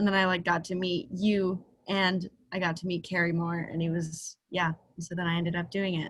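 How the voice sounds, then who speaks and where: A somewhat breathy woman with an American accent, her fairly low voice flat and monotone at a moderate pace. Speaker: student. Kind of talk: panel discussion. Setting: video call.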